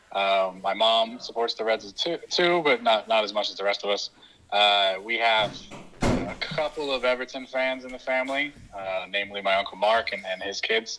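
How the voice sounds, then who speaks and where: A bright, sharp tone with an East Coast American accent and ordinary pitch variation. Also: man. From US East Coast, New Jersey. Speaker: football podcast host. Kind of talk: interview. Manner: halting, many fillers.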